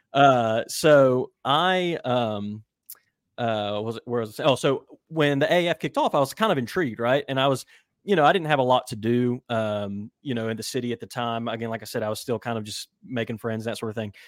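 With an American accent and a plain, everyday voice, a man talks at a moderate pace with ordinary pitch variation. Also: medium pitch for a man. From West Virginia. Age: 30s. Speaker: football writer. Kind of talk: casual chat.

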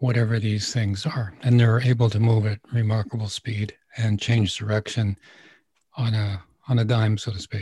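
Somewhat breathy and dark, mellow in tone, the voice is recorded dry and close with no echo. It moves at a fairly slow pace with monotone, flat intonation. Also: man. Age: 70s. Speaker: spiritual teacher and radio host. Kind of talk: casual interview answering questions. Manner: conversational, rambling.

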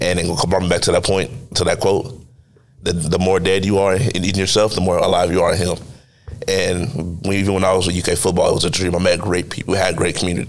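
A man talks at a fairly quick pace in a very deep, low pitch, with fairly even intonation and very even loudness. Noticeable background noise runs underneath. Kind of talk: faith testimony.

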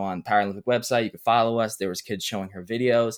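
A man with an American accent talks at a very fast pace in a flat, monotone delivery, recorded very cleanly against a silent background. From Brooklyn, New York. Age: 20s. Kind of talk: interview.

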